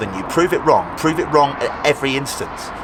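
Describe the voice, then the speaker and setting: A man's speech shows ordinary pitch variation, and noticeable background noise can be heard. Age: 20s. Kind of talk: motivational talk. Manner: animated.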